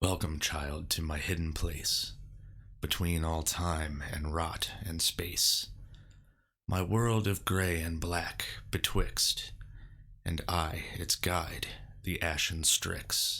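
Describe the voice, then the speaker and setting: In a put-on character voice, a man speaks raspy and very deep, at a very slow pace with long, frequent pauses. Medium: solo performance. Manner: archaic, solemn.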